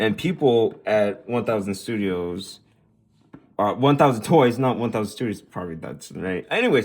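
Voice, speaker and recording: With lively intonation and big swings in loudness, a man speaks at a moderate pace and a medium pitch. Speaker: toy reviewer. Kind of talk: product review monologue. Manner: halting, self-correcting; enthusiastic.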